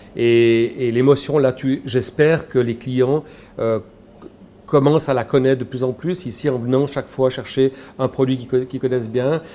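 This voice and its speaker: A man with a plain, everyday voice speaks at a moderate pace and medium pitch with fairly even intonation. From Switzerland, Valais. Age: 60s. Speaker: shop owner, former headhunter. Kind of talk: interview. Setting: in his grocery shop.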